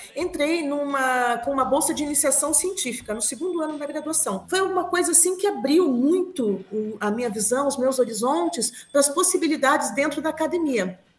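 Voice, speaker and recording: The woman's high voice moves along at a fairly quick pace. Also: lively intonation. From Brazil, Curitiba (Paraná). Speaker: linguistics professor. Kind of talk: interview conversation.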